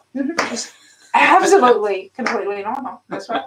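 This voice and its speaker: A woman speaks with a Southern accent. Her pitch is high and swings very widely. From US South, Arkansas. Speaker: doll channel live stream host. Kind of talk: live stream chat. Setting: live stream.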